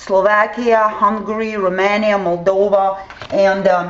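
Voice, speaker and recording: Speaking rather slowly, a woman can be heard with audible echo from the room. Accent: Ukrainian. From southern Ukraine. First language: Russian or Ukrainian. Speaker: vlogger. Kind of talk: explainer video. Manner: halting, many fillers.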